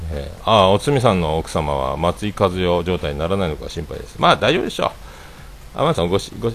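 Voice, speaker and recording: A man talks at a very fast pace. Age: 40s. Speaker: livestreamer, former restaurant owner. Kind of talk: casual solo livestream chat. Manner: rambling with many fillers.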